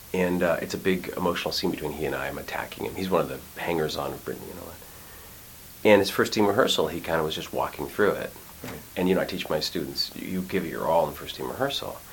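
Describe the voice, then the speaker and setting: In a room with audible echo and noticeable background noise, a man speaks very fast at a very deep, low pitch with ordinary pitch variation. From Quebec, Montreal. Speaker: actor and acting teacher. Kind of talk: casual interview chat.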